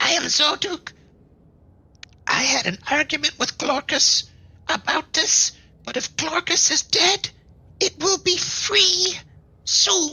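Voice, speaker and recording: A squeaky, put-on character voice at an extremely high pitch, fairly slow, with long, frequent pauses. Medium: actual play. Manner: nervous, muttering.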